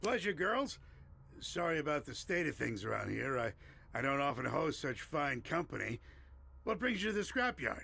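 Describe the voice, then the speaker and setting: A man uses a raspy, put-on character voice with a fairly high pitch. He talks at a moderate pace with very wide pitch swings. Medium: video game. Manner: gruff, folksy.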